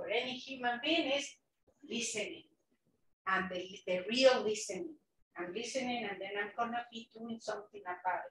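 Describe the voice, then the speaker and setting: This woman's voice is fairly high-pitched and moves at a moderate pace. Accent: Mexican. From Mexico City, Mexico. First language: Spanish. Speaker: nonprofit executive director, former bilingual teacher. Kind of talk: invited talk at a club meeting. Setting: club meeting, partly online.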